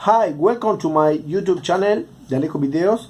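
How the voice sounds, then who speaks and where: Lively intonation marks this man's moderate-paced speech in an Argentine accent. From Argentina. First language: Spanish. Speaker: DIY video maker. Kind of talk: tutorial intro. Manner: halting.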